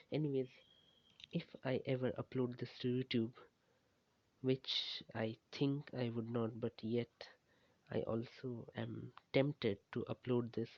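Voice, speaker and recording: A man talks at a medium pitch. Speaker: student annotating data for machine learning. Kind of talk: casual monologue. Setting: at home, parents nearby. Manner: halting, with stutters and pauses.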